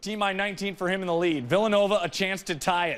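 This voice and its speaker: This man speaks in an energetic tone at a high pitch. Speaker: sports anchor and reporter. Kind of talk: TV sports broadcast anchor read. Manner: energetic, punchy, conversational.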